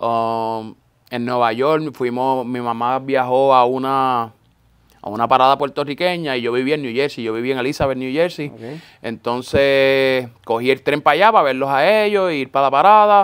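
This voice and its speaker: A man speaks at a medium pitch and a moderate pace with ordinary pitch variation. It is a plain, everyday voice in a very clean recording with a silent background. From Puerto Rico (Florida, north coast). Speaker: sneaker store owner. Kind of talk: casual interview chat. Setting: in person with host.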